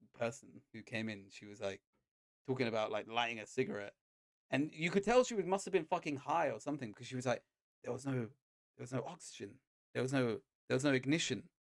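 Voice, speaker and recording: This man talks very fast with a British accent, his pitch medium and his intonation lively. His tone is animated, and his loudness swings widely. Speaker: podcast co-host; chef. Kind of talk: casual chat.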